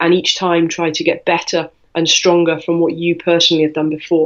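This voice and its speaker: This woman has a British accent and a fairly low pitch. She talks at a fairly quick pace. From UK. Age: 40s. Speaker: weightlifter and coach. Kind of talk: interview.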